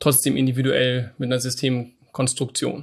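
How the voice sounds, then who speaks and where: A man's medium-pitched voice comes through with a quiet background. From northern Germany, Hamburg. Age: 30s. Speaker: business owner. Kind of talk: interview. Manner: halting, many fillers.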